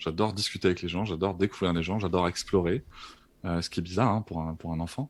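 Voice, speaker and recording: A man's very deep, low voice comes through a very clean recording with a silent background. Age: 30s. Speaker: podcast guest, therapist and author. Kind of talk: casual interview. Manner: halting, many fillers and repetitions.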